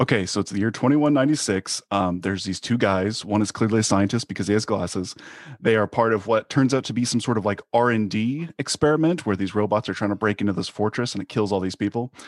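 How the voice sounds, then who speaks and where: With a very clean recording, a silent background and a dry, close sound with no echo, a man speaks in a normal speaking voice at a fairly low pitch, fairly quickly and with hardly any pauses, using ordinary pitch variation. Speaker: author guest. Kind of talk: casual chat.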